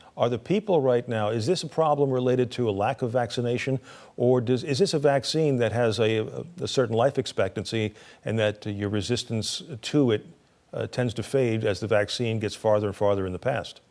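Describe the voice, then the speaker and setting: A man talks at a fairly quick pace in an ordinary speaking voice, medium-pitched with ordinary pitch variation, against a quiet background. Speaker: news interviewer. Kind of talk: news interview questions.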